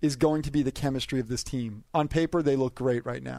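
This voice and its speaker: A man talks with a plain, everyday voice. His pitch is fairly high and his pace fairly quick. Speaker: NFL media columnist. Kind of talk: casual chat. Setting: studio.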